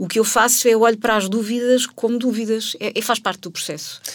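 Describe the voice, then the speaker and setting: Here a woman talks at a very fast pace. Her pitch is fairly high. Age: 40s. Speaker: person changing careers. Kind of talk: interview.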